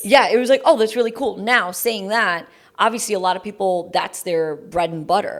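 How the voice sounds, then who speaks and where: Recorded very cleanly against a silent background, a woman talks in a New York accent. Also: medium pitch for a woman, ordinary pitch variation, moderate pace. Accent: New York American. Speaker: radio jockey. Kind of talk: interview answer.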